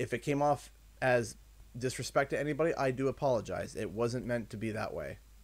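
The speaker moves at a fairly quick pace with a Canadian accent. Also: man. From Canada. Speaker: gaming streamer. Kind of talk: livestream chat. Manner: repetitive, thinking aloud. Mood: earnest, apologetic, reflective. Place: home room. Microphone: studio mic.

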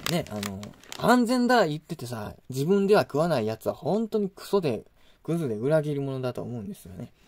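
This man's voice sits fairly high and swings very widely in pitch. His loudness also rises and falls sharply. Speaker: YouTuber, food reviewer. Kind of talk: casual monologue. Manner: fast. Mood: opinionated, critical rant. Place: home room. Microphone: phone near.

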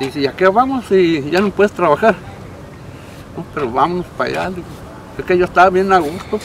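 Talking at a very fast pace, a man with a high pitch is heard in a dry sound with no echo and light background noise. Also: ordinary pitch variation. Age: 70s. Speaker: retired heavy machine operator. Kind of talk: interview answer. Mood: warm, reminiscing, amused. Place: open country.

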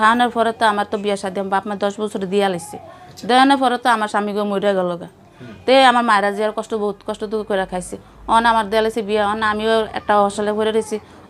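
Noticeable background noise beneath a monotone, flat delivery. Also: woman, fairly high pitch for a woman. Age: middle-aged. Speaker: widow in poverty telling her story. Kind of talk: interview testimony.

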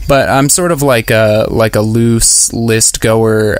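A man's medium-pitched voice holds fairly even intonation while noticeable background noise plays behind him. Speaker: trail runner. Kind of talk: interview.

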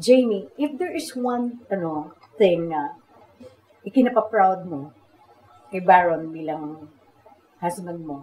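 A woman talks at a very slow pace, her medium-pitched voice carrying lively intonation and big swings in loudness. Light background noise sits behind her. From Philippines. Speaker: talk show host. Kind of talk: interview. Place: home room.

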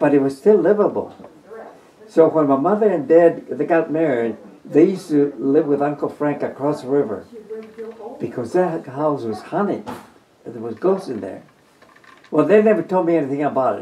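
A man with a fairly high voice talks at a moderate pace, his intonation lively. He leaves long, frequent pauses over noticeable background noise. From New Mexico. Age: 90s. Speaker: war veteran. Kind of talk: interview. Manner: halting.

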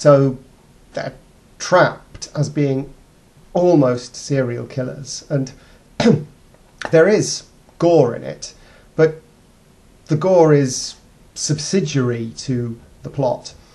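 A man talks at a very slow pace, somewhat breathy, with ordinary pitch variation. His loudness swings widely, and long pauses come often. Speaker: video blogger. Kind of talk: casual vlog film review. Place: home room. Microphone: webcam.

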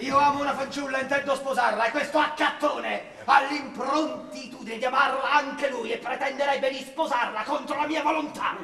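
In a put-on character voice, a man speaks at an extremely high pitch with a bright, sharp tone, vocal fry and fairly even intonation, keeping a moderate pace with few pauses as room echo is audible.

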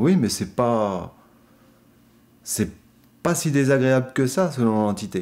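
Speaking at a very slow pace with long, frequent pauses, a man swings very widely in pitch. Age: 40s. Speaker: practising occultist; interviewee. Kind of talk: interview. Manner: hesitant, many fillers. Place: studio.

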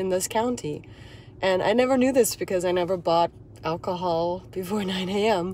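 At a moderate pace, a woman speaks in a dry sound with no echo over light background noise. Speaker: hiking vlogger, dance teacher. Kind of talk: casual vlog chat. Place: car. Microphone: phone near.

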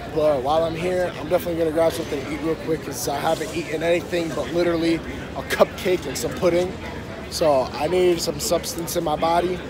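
Crowd noise fills the background as a man talks at a very fast pace in a high pitch with monotone, flat intonation. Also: dry sound with no echo. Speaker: vlogger. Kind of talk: casual vlog chat. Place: street. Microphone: phone near.

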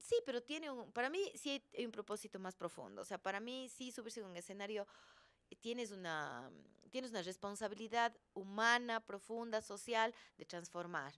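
A woman with a Cuenca Ecuadorian accent at a fairly high pitch, moderate pace and ordinary pitch variation, over a quiet background. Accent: Cuenca accent (Ecuador). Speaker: actress and comedian; actress, comedian. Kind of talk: interview; interview answer. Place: studio. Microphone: studio mic.

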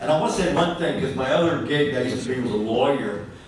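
A man's voice carries strong room echo. Noticeable background noise is present too. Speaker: poet at open reading. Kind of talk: spoken introduction then poetry reading. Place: stage. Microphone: camera far.

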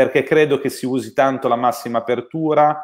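Against a silent backdrop, a man is talking. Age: 30s. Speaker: camera expert; guest. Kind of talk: technical discussion. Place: home room. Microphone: video call.

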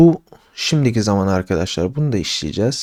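With a dark, mellow tone and very wide pitch swings, a man speaks at a fairly slow pace in a dry, close sound with no echo. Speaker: English teacher. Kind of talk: tutorial. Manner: casual.

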